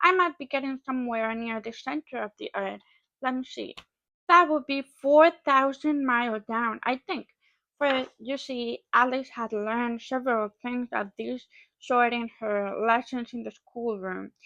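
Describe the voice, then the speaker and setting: The speaker has a non-native accent and a bright, sharp tone, talking at a fairly slow pace with ordinary pitch variation and big swings in loudness. The sound is dry and close with no echo, over a quiet background. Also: woman, high pitch for a woman. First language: not English. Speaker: English learner. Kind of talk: read-aloud of a classic novel.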